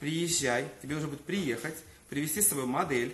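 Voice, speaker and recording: A man at a fairly high pitch and fairly quick pace, with ordinary pitch variation, audible room echo and light background noise. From Crimea, Simferopol; Crimea. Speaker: hair colourist. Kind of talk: live-stream hair colouring demonstration. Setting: hair salon. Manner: animated. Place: shop. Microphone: phone near.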